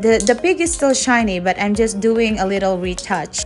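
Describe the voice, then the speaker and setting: Faint music sits behind a woman as she speaks. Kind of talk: cooking tutorial vlog. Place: garden. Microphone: phone near.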